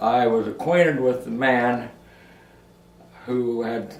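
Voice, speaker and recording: A man's medium-pitched voice is heard with audible room echo and noticeable background noise. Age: 90s. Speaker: elderly father recalling his working life. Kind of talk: oral history interview. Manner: halting, with many fillers and repeats.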